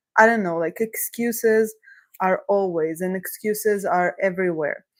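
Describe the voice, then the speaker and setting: The speaker has a non-native accent. Pace is moderate, with ordinary pitch variation. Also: woman, medium pitch for a woman. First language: not English. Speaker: career coach. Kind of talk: live coaching session. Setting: livestream.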